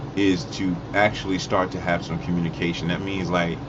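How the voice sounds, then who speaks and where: Noticeable background noise and audible room echo around a man's moderately paced voice. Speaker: online talk show host. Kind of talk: live call-in talk show. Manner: animated; halting, stumbling over words.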